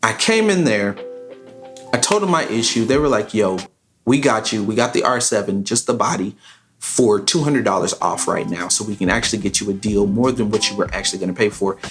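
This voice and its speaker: A man's medium-pitched, animated voice at a fairly quick pace, with ordinary pitch variation. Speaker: YouTuber and beat maker. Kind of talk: casual storytime vlog. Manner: fast.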